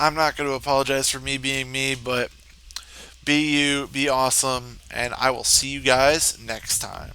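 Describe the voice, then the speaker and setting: A man at medium pitch, flat and monotone, fairly slow, with noticeable background noise. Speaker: gaming youtuber. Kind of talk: casual vlog talk to viewers. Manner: rambling, casual.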